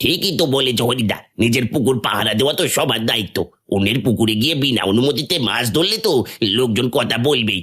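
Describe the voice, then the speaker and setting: In a cartoonish character voice, a man at a medium pitch speaks at a moderate pace with lively intonation and very even loudness. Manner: deferential.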